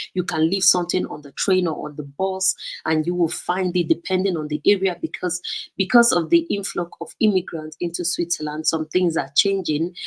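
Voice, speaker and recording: This woman's voice sits fairly low and her intonation stays fairly even. The sound is dry and close, with no echo. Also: moderate pace. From Nigeria. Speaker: vlogger. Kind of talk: live stream talk. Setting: live stream. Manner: casual, hesitant with fillers.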